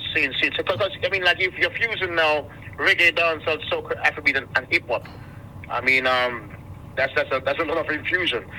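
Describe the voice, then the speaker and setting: A man's high voice with ordinary pitch variation, a fairly quick pace, and noticeable background noise. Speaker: radio host. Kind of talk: radio interview. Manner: halting, many repetitions.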